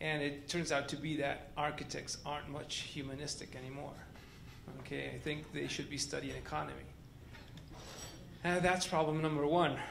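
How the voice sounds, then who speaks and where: Amid audible room echo, a man with a non-native accent speaks at a moderate pace with long, frequent pauses. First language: not English. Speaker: architect. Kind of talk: panel discussion.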